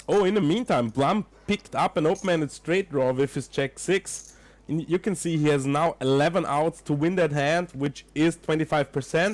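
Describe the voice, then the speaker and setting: This very clean recording with a silent background features a man with an Austrian accent at a moderate pace. His pitch is fairly high with ordinary variation, and his loudness stays very even. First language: German. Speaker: poker commentator. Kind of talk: live commentary. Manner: casual, chatty.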